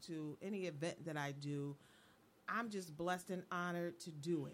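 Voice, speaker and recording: In an unremarkable speaking voice, a woman speaks at a moderate pace with a fairly low pitch and ordinary pitch variation. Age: 50s. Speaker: co-host.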